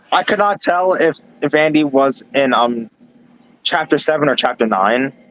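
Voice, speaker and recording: A plain, everyday voice from a man with an American accent, fairly high in pitch, at a moderate pace with lively intonation, very even loudness and a dry, close sound with no echo. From New York. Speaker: live streamer. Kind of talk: casual chat. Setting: live stream voice chat.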